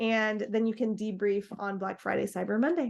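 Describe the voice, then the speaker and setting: Against a quiet background, a woman with a normal speaking voice talks at a moderate pace, her fairly high pitch held in fairly even intonation. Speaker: marketing agency presenter. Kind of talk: webinar presentation.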